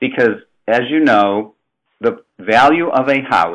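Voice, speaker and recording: In a Chicago accent, a man speaks with ordinary pitch variation against a quiet background. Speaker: housing finance presenter. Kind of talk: webinar presentation. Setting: webinar. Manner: conversational, with fillers.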